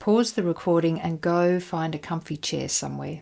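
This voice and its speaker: In a very clean recording with a silent background, a woman uses a normal speaking voice at a fairly low pitch. She talks at a fairly slow pace. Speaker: hypnotherapist. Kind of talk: guided exercise.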